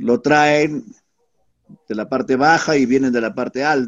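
A man at a fairly slow pace. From Peru, Tarma region. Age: 70s. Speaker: retired teacher and local historian. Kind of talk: interview.

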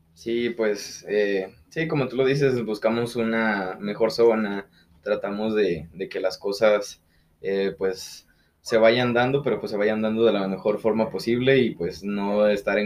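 An unremarkable speaking voice from a man of medium pitch, fairly slow in pace, with ordinary pitch variation. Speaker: podcast co-host. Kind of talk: casual chat.

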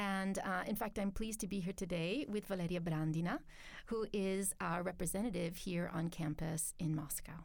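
Using an ordinary speaking voice, a woman talks at a moderate pace and medium pitch, with ordinary pitch variation and very even loudness. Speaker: international office staff at a university. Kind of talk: interview. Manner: articulate, measured.

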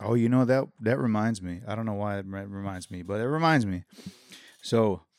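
Speaking in a plain, everyday voice at a moderate pace, a man with medium pitch and ordinary pitch variation comes through on a very clean recording with a silent background. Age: 30s. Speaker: roommate of the host. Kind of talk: casual chat.

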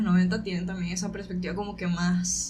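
At a fairly quick pace, a woman talks in a monotone, flat way at medium pitch. Noticeable background noise and audible room echo accompany her. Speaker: podcast co-host. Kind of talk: casual chat.

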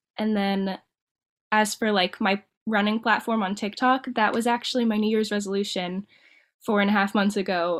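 At a moderate pace and with fairly even intonation, an ordinary speaking voice comes through in a very clean recording with a silent background. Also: woman. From Ohio, Dayton. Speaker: marathon runner and cosmetologist. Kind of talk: interview.

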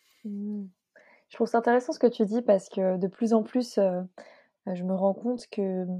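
Her voice sits at a medium pitch. The woman keeps a moderate pace. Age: 20s. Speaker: podcast host. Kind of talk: interview.

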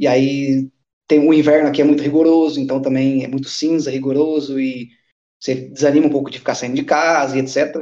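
His dark, mellow tone sits at a fairly high pitch for a man, and he talks at a fairly quick pace. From Brazil. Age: 30s. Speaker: mechanical engineer living abroad. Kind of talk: casual chat.

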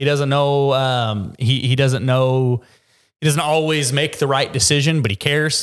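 A man speaks in an ordinary speaking voice at a medium pitch and a moderate pace. The recording is very clean, with a silent background. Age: 30s. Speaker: podcast host and gym owner. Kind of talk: casual chat.

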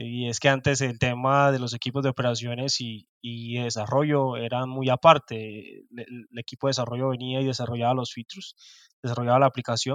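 Against a quiet background, the voice moves at a fairly quick pace with monotone, flat intonation and big swings in loudness, the sound dry and close with no echo. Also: man, medium pitch for a man. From Colombian Caribbean coast. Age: 30s. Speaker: DevOps engineer. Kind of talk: interview.

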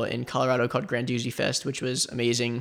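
This man speaks with an American accent at a medium pitch. His intonation is fairly even, and there is vocal fry in his voice. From South Florida. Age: 20s. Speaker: photographer and psychology student. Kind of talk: interview.

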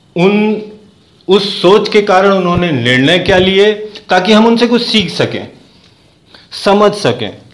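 Speaking with a high pitch, ordinary pitch variation and very even loudness, a man leaves long, frequent pauses, with audible room echo and noticeable background noise. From eastern Uttar Pradesh (Ballia). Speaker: podcast host. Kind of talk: interview.

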